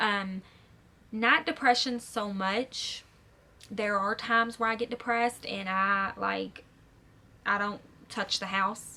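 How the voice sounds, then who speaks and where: A woman speaks at a fairly slow pace with a medium pitch. Her tone is bright and sharp, and her intonation stays fairly even. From Kentucky, Louisville. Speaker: vlogger. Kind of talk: casual Q&A vlog.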